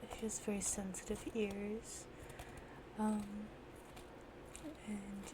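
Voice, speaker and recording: Someone soft-spoken talks at a very slow pace over noticeable background noise. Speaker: ASMR creator. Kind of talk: ASMR soft-spoken talk to camera.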